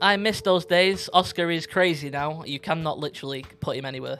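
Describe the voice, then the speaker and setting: A fairly high-pitched man with a northern English accent, very fast pace and fairly even intonation, with music in the background. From northwest England. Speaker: podcast co-host and streamer. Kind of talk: casual chat.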